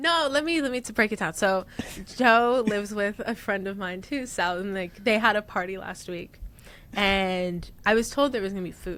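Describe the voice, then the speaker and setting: A woman with an American accent speaks at medium pitch and a moderate pace, with ordinary pitch variation, on a very clean recording with a silent background. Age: 20s. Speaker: artist. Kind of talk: casual chat. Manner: animated.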